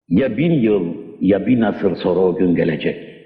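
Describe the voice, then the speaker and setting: Music plays in the background as a man speaks. His pace is fairly slow, with ordinary pitch variation. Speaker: poet. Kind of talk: poetry reading.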